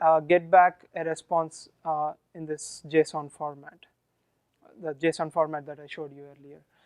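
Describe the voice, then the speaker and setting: A man speaks with a strong Indian accent in a flat monotone, his loudness swinging widely. Long pauses are frequent, and the sound is dry and close with no echo. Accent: Indian, thick. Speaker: software engineer presenting at a meetup. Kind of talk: tech talk with live demo. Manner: hesitant, many fillers.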